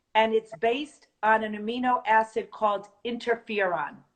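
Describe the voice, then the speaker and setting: A woman speaks with a New Jersey accent. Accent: New Jersey American. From North Jersey, US. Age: 50s. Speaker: supplement distributor. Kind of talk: product presentation.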